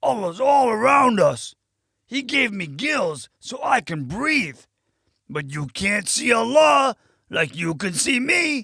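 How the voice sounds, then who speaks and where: In a put-on character voice, the speaker goes at a fairly slow pace with a fairly high pitch and very wide pitch swings. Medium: read story.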